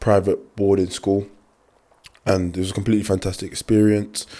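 On a very clean recording with a silent background, a man in a London accent speaks at a fairly low pitch, his dark, mellow tone delivered in monotone, flat intonation. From London (Clapham). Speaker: rugby player. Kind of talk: casual chat.

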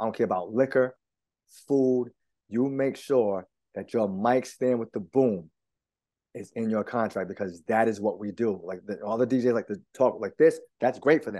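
Medium in pitch and dark, mellow in tone, a man speaks at a moderate pace with ordinary pitch variation. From Rhode Island, East Providence. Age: 50s. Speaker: DJ. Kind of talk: casual interview.

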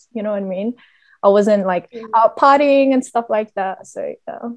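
Her pitch is medium, and this woman talks in an Australian accent. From Australia (Vietnamese family). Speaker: podcast co-host. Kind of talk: casual chat.

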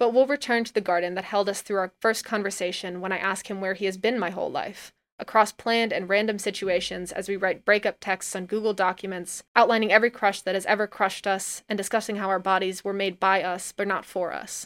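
A woman speaks in a plain, everyday voice at medium pitch and a fairly quick pace. Her intonation stays fairly even on a very clean recording with a silent background. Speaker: audio narrator. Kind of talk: poetic spoken word, reading aloud a personal essay. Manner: intimate, tender, reflective, lyrical; measured, expressive, wistful pacing.

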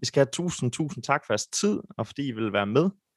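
Heard in a dry, close sound with no echo, a plain, everyday voice moves at a fairly quick pace. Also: man. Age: 20s. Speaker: podcast host. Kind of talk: podcast hosting. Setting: video call.

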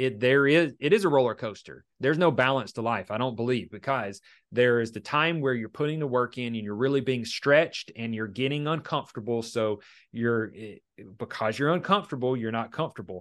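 A man speaks at a fairly quick pace in a medium pitch with a plain, everyday voice, against a quiet background. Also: ordinary pitch variation. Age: 30s. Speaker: restoration business owner. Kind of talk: casual interview chat.

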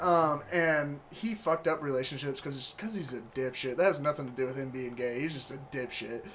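This man has an ordinary speaking voice at a fairly high pitch with ordinary pitch variation. He keeps a moderate pace with hardly any pauses. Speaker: podcast host. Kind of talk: casual chat.

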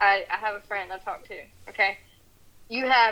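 A woman's plain, everyday voice at medium pitch, with a fairly quick pace. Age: 20s. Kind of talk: heated argument.

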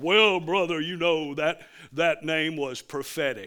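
A man puts on a character voice at a fairly high pitch. He talks at a very slow pace with ordinary pitch variation. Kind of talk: pious pulpit tone. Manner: sanctimonious.

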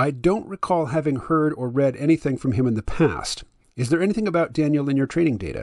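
A man talks at a fairly quick pace in an ordinary speaking voice with ordinary pitch variation, the sound dry and close with no echo. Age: 50s. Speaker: podcast host. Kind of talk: casual chat with an AI chatbot, some reading aloud.

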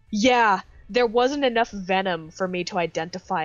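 Music runs behind a woman whose intonation is bright and lively. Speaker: podcast co-host. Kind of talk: casual chat.

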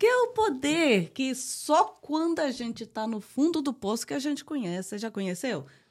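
A high-pitched woman talks at a moderate pace in an animated tone. Her pitch swings very widely. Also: hardly any pauses. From Brazil. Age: 40s. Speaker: podcast co-host. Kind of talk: casual chat. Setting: home backyard. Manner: talkative, animated.

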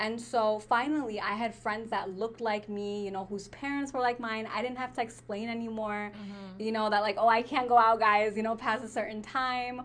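Fairly quick and with hardly any pauses, a woman with an American accent and a fairly high pitch talks in a monotone, flat intonation. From United States, born in Pakistan. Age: 20s. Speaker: podcast co-host. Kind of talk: casual chat.

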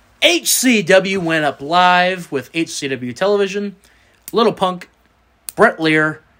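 In a bright, sharp tone, a man talks with a Southern US accent. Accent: Southern US drawl. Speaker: sports podcast host. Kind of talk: casual chat.

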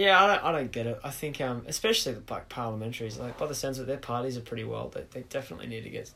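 A man talks with an Australian accent. His pace is very fast. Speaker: podcast host. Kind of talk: casual chat. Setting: bedroom home recording.

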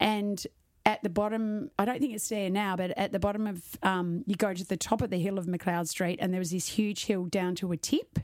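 Speaking at a moderate pace, a woman with an Australian accent uses fairly even intonation at medium pitch. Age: middle-aged. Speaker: podcast host, fitness business owner. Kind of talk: casual interview.

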